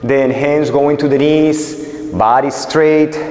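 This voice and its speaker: Speaking very slowly, a man's voice carries audible room echo. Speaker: martial arts instructor. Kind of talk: exercise instruction with counting. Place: gym.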